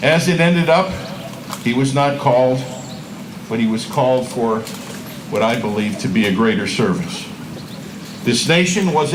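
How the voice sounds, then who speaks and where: Lively intonation at a moderate pace comes with long, frequent pauses and noticeable background noise. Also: man. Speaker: mayor. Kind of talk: ceremony speech introduction.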